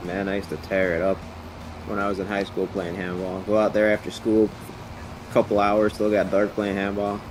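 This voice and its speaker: With music in the background, a man in an American accent speaks at a fairly quick pace, his fairly low pitch staying monotone and flat. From Long Island, New York. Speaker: gaming stream co-player. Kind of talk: casual chat.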